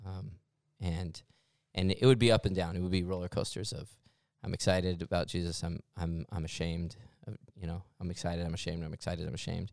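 Over a silent background in a very clean recording, a man with a very deep, low pitch talks at a very fast pace with fairly even intonation. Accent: American. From Mesa, Arizona. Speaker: church staff member and podcast co-host. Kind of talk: casual chat.

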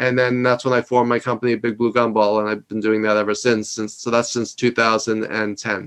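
A man speaks with a New York accent. His intonation is flat and monotone. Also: medium pitch for a man. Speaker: leadership consultant and executive coach. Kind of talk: interview. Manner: loud; fast.

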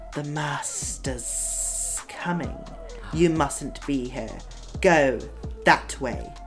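A man speaks in a put-on character voice at a very slow pace. Loud music plays in the background. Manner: urgent, warning.

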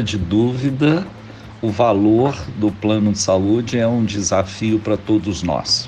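Noticeable background noise fills the recording. Over it, a man talks very slowly. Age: 60s. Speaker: physician and health cooperative executive. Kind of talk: radio interview. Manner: hesitant, many filler sounds.

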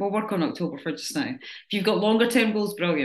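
A woman with a normal speaking voice, medium pitch for a woman, at a fairly quick pace. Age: 40s. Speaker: fitness coach. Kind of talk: group coaching talk. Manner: casual.

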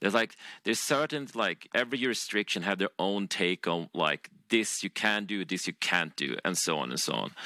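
A man speaks at a moderate pace in a fairly low voice with a bright, sharp tone, vocal fry and lively intonation. The sound is dry and close with no echo, in a very clean recording with a silent background. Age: 40s. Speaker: games company founder. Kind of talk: interview.

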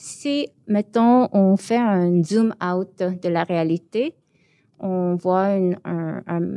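In a very clean recording with a silent background and a dry, close sound with no echo, a woman speaks at a medium pitch with ordinary pitch variation. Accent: Korean. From born in Seoul, raised in Montreal from age 12. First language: Korean (speaking French). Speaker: visual artist. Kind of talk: interview. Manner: hesitant, many fillers.

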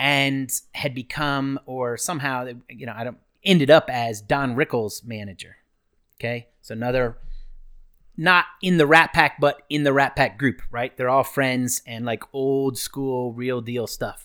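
A man with an American accent speaks in an unremarkable speaking voice at a medium pitch and a fairly slow pace. His loudness swings widely, in a very clean recording with a silent background. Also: ordinary pitch variation. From US Northeast (Ohio, New Jersey). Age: 50s. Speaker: flight attendant and running store owner. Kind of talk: casual chat, storytelling.

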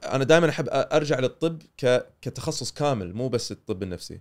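A man with a Kuwaiti accent, fairly high in pitch, at a fairly slow pace with very wide pitch swings. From Kuwait, childhood in North America. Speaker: psychiatrist. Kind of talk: casual interview.

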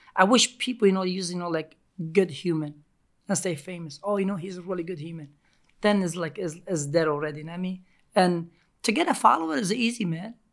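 Very fast speech with a Turkish accent. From Turkey. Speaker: pizzeria owner and pizza acrobat. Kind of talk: casual interview. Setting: studio.

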